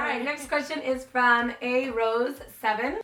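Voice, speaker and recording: Projecting a raised voice, a woman speaks at a moderate pace with a high pitch, ordinary pitch variation and a bright, sharp tone. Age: 20s. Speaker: beauty YouTuber. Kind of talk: casual Q&A vlog. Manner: animated.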